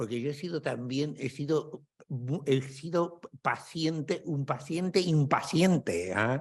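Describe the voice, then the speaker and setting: A somewhat breathy man at a fairly high pitch, very slow in pace, with ordinary pitch variation. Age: 70s. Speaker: psychotherapist and book author. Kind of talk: book presentation dialogue. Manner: halting.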